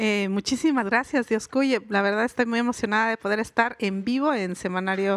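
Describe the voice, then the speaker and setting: At a moderate pace and with hardly any pauses, a woman speaks in a fairly high pitch with ordinary variation, on a very clean recording with a silent background. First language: Mixe (speaking Spanish). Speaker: writer and linguist. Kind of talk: live interview. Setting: stage with audience at a book fair.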